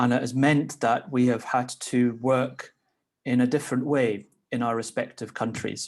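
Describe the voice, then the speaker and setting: This man has a Scottish accent and a medium pitch. He keeps a moderate pace in a monotone, flat intonation. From Scotland. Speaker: legislator chairing a meeting. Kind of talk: meeting chair remarks. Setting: video call.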